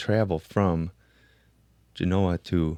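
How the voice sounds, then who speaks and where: A man with a Chicago accent speaks in a very deep, low pitch. The sound is dry and close with no echo, and the recording is very clean with a silent background. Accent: Chicago American English. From Chicago, US. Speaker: podcast host. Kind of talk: casual chat.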